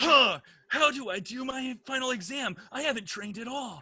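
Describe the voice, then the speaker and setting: Someone performs a put-on character voice at a high pitch and a moderate pace. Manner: anime-style exaggerated.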